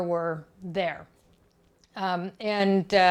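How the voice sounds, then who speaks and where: In a very clean recording with a silent background, a woman with an American accent talks at a very slow pace. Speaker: technology industry speaker. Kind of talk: career talk to school students. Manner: loud; animated.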